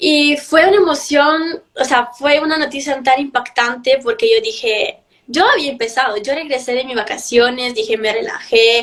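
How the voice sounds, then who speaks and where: Speaking at a moderate pace with hardly any pauses, a woman uses lively intonation in a high pitch. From Italy, Milan. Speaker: beauty pageant contestant. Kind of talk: interview.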